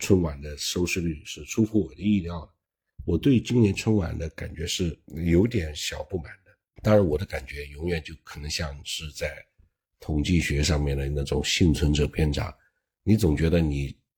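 A man with a very deep, low voice, somewhat breathy, at a moderate pace. His loudness swings widely while his pitch varies in an ordinary way. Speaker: online commentator. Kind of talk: monologue commentary. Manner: casual, with self-corrections.

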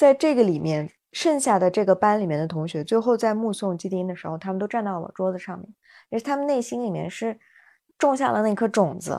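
Talking at a fairly quick pace, a woman with a non-native accent has a dark, mellow tone, lively intonation and big swings in loudness. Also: medium pitch for a woman, very clean recording, silent background. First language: not Chinese (speaking Chinese). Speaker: podcast host, mother and educator. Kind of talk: casual chat.

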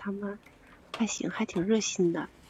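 Medium-pitched woman at a moderate pace, with noticeable background noise. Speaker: new livestream reader. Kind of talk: casual chat. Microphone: too quiet, far from mic.

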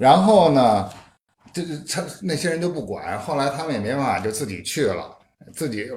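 Vocal fry runs through the voice at a moderate pace. Audible room echo surrounds it. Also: man. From Beijing, China. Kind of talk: casual chat. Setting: living room gathering at host's home.

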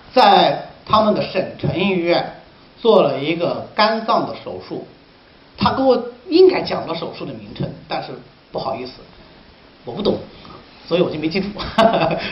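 A man with a high pitch speaks with very wide pitch swings, big swings in loudness, and long, frequent pauses. The recording has audible room echo and noticeable background noise. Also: moderate pace. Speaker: Chinese medicine teacher. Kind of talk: lecture. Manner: animated.

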